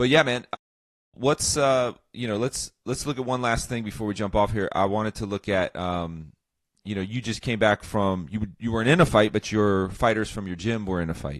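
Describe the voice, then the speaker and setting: Over a quiet background, a man speaks in a fairly low voice with ordinary pitch variation. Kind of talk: casual chat. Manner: fast.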